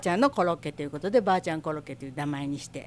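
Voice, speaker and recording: This woman speaks with an Osaka accent. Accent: Osaka Kansai dialect. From Osaka, Minato ward. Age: 60s. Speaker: shop owner. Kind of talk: interview. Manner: casual.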